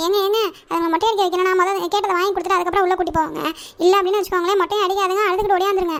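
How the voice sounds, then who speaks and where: A woman does a cartoonish character voice, pitched extremely high and delivered in a flat monotone. She talks very fast at a very even loudness. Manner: exclamatory, chatty.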